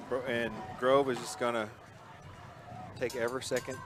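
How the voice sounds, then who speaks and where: With noticeable background noise behind him, a man speaks at a medium pitch with an Oklahoma accent. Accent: Sallisaw, Oklahoma. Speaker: sports play-by-play announcer. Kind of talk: live commentary. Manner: casual, conversational.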